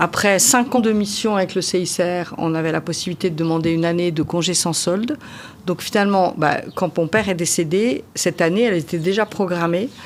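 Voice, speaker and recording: A woman with a fairly low voice talks at a fairly quick pace with ordinary pitch variation. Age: 60s. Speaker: winemaker. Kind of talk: interview. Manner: hesitant, with frequent fillers.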